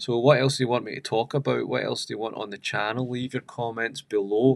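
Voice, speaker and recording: A man with a Scottish accent at a medium pitch, monotone and flat in intonation, at a fairly quick pace. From Scotland. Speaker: religious YouTuber. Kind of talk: live stream talk. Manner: casual.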